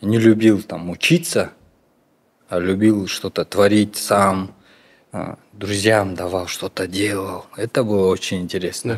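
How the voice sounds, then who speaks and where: A man speaks very slowly at a fairly low pitch, leaving long, frequent pauses. His intonation stays fairly even. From Kyrgyzstan, Talas. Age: 30s. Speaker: artist. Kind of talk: interview.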